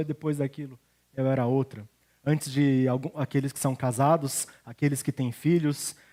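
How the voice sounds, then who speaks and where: The sound is dry and close with no echo as the man talks at a moderate pace. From Brazil, Curitiba then São Paulo state. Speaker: pastor. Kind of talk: sermon.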